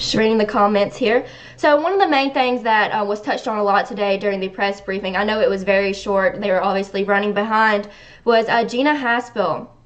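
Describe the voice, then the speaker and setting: With a Southern accent, a woman speaks at a fairly quick pace and a fairly high pitch, with ordinary pitch variation. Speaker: online news show host. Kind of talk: live stream commentary.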